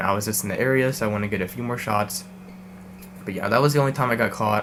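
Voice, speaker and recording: Over noticeable background noise, a man speaks at a very fast pace with fairly even intonation. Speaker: urban exploration youtuber. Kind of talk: Q&A vlog. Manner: hesitant, many fillers.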